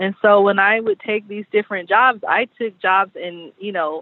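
A woman's unremarkable speaking voice, medium in pitch, at a moderate pace with fairly even intonation. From Southern California. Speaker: chef and caterer. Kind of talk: casual interview.

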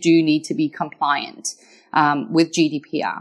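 A woman speaks with a slight Scottish accent against a quiet background. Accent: slightly Scottish. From Wales. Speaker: lawyer. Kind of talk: interview.

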